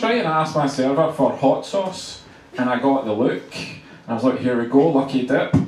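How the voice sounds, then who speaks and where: A man with a strong Scottish accent is heard through audible room echo and noticeable background noise. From Scotland, Glasgow. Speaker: comedian. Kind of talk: stand-up. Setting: stage with audience.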